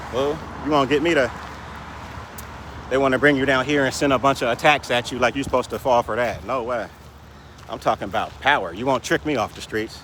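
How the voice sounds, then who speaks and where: A man at a very fast pace and medium pitch, ordinary pitch variation, long and frequent pauses, and noticeable background noise. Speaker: vlogger. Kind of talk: casual monologue rant. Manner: stutters at times; animated.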